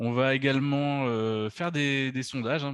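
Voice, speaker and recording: In a Bordeaux accent, a man speaks with fairly even intonation over a quiet background. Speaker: travel agency director. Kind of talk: webinar presentation. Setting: video conference. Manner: hesitant, many fillers.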